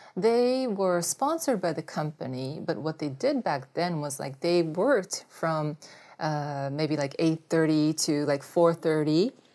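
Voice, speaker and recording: A dark, mellow tone with a Japanese accent, lively intonation and a fairly slow pace, on a very clean recording with a silent background. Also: woman, very deep, low pitch for a woman. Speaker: former Olympic volleyball player. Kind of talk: interview. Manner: halting, many fillers.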